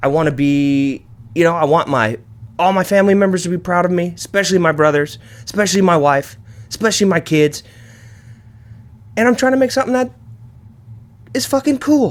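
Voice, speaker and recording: With a high pitch and very wide pitch swings, a man talks in an animated tone at a fairly quick pace, keeping very even loudness but taking long, frequent pauses. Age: 30s. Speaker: podcast host. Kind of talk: casual monologue. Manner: fast.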